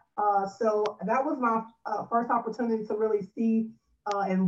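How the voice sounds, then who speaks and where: Speaking fairly slowly with an American accent, a woman uses a plain, everyday voice that sits fairly high and keeps a fairly even intonation. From California. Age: 20s. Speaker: pastor's wife and freelance marketer. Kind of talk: interview.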